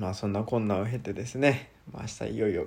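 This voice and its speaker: Talking at a fairly quick clip, a man uses a plain, everyday voice pitched fairly low with ordinary pitch variation, on a very clean recording with a silent background. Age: 20s. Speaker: schoolteacher. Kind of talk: solo monologue podcast. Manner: casual, relaxed.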